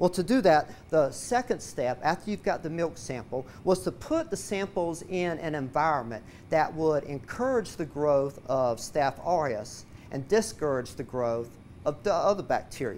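A man's lively intonation at a moderate pace, with light background noise. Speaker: science educator. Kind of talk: lecture. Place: classroom. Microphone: lapel.

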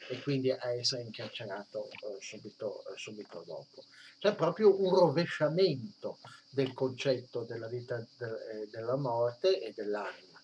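A man talks at a moderate pace in a medium pitch, somewhat breathy, with lively intonation. His loudness swings widely, and light background noise is present. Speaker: history of religions teacher; history of religions lecturer. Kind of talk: lecture. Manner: halting, many fillers. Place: home room. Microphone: webcam.

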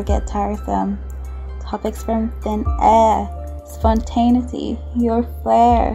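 With music in the background, a woman speaks in a very deep, low pitch. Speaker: voiceover artist. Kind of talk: spoken word poetry reading.

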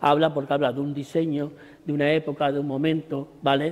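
The voice has a dark, mellow tone. It moves at a fairly quick pace. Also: man. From Extremadura, Spain. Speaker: artist. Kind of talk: exhibition talk to audience. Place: hall. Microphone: lapel.

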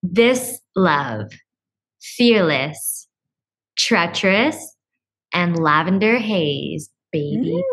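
A woman with a fairly low pitch and vocal fry talks at a very slow pace, with long, frequent pauses and very wide pitch swings. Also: quiet background. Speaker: podcast co-host. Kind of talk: casual chat. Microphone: studio mic.

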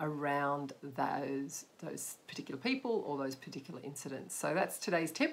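A woman with an Australian accent, lively intonation and a fairly slow pace. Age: 50s. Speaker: life coach and photographer; life coach. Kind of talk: direct-to-camera talk. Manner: hesitant, many fillers. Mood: warm, encouraging. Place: home room. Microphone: webcam.

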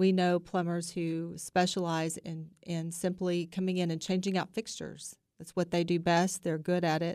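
At a moderate pace and with hardly any pauses, a woman speaks in a monotone, flat way with a fairly low pitch. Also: quiet background. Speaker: guest. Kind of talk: interview answer. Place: studio. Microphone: studio mic.

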